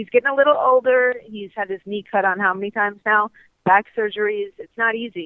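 Fairly high in pitch, a woman with an American accent and an unremarkable speaking voice talks at a fairly quick pace. Her intonation is fairly even, but her loudness swings widely. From US Midwest (Ohio). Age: 20s. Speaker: golf broadcaster. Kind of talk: interview. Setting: phone call.

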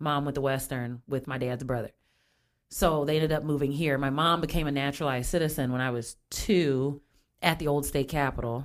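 Fairly quick and fairly even in intonation, a woman with an American accent speaks in a very deep, low pitch. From Springfield, Illinois, US Midwest. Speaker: singer and community volunteer. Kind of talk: casual chat.

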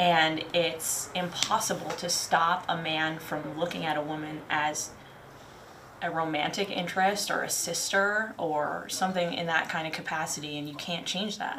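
A woman at a moderate pace and fairly low pitch, amid noticeable background noise and audible room echo. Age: 30s. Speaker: active duty marine staff sergeant. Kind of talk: casual chat.

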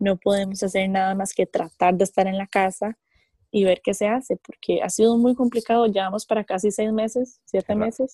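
A woman with a dark, mellow tone and a medium pitch speaks fairly quickly, somewhat breathy, with fairly even intonation and a dry, close sound with no echo. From Costa Rica. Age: 20s. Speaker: professional wrestler. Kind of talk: interview.

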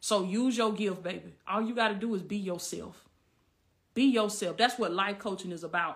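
A woman of medium pitch speaks with a Southern US accent in a very clean recording with a silent background. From US South, Southwest Georgia. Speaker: life coach. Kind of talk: livestream Q&A. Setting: live video stream. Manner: animated.

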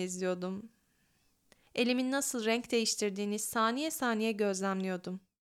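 A woman speaks in a plain, everyday voice at a moderate pace with ordinary pitch variation, recorded very cleanly against a silent background. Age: 20s. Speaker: podcaster and graduate student. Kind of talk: reading aloud her own letter.

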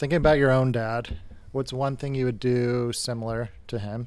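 A man speaks in an unremarkable speaking voice, medium in pitch, at a moderate pace with fairly even intonation. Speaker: guest, new dad. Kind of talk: casual chat.

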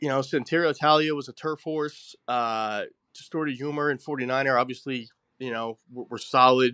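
A man with an American accent talks at a moderate pace in a bright, sharp tone, with ordinary pitch variation and big swings in loudness. The sound is dry and close with no echo, over a quiet background. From New Jersey. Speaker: horse racing handicapper. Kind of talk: casual betting chat.

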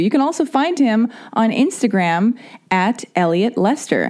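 A woman speaks with lively intonation and a slightly mellow tone.

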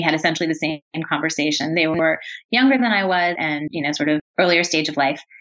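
Speaking at a fairly quick pace, a woman with an ordinary speaking voice has a fairly low pitch and ordinary pitch variation. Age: 30s. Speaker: author and former magazine editor. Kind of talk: interview.

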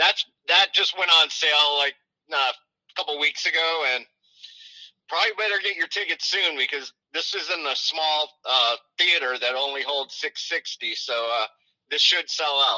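This man has a plain, everyday voice with a fairly high pitch and ordinary pitch variation, speaking at a moderate pace in a dry, close sound with no echo. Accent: American. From US South. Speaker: venue marketing director. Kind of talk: casual interview.

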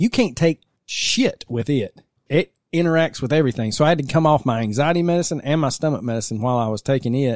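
A fairly high-pitched man at a very fast pace with lively intonation, in a dry, close sound with no echo. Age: 40s. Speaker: podcast host. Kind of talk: true crime narration; casual chat. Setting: basement studio.

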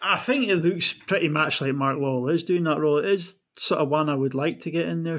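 With a Scottish Highland accent, a man talks at a fairly quick pace with ordinary pitch variation. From far north of Scotland. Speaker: football fan. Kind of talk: casual chat.

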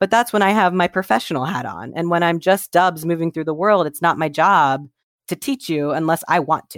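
With an American accent, a woman talks fairly quickly at a fairly low pitch with ordinary pitch variation. The recording is very clean, dry and close, with a silent background and no echo. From Ohio, US Midwest. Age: 30s. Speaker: humorist and LGBTQ educator. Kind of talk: interview.

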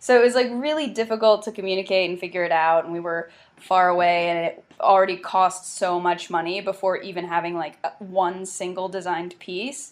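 A woman's ordinary speaking voice in an American accent, medium in pitch with ordinary variation, at a fairly quick pace with hardly any pauses. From US South, South Carolina. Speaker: clothing brand founder and activist. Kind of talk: interview.

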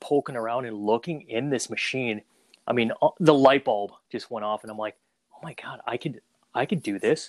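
In a dry, close sound with no echo, a man with a plain, everyday voice speaks at medium pitch and a fairly quick pace, with fairly even intonation. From Saigon, Vietnam, raised in Minnesota. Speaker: photo booth business owner. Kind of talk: casual interview.

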